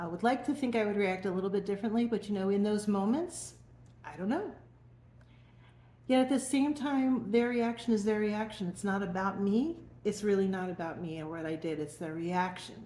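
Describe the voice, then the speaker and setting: Somewhat breathy and dark, mellow in tone, a woman speaks fairly quickly at a medium pitch with lively intonation. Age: 60s. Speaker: emotional wellness coach. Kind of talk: personal testimony to camera. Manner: conversational, informal.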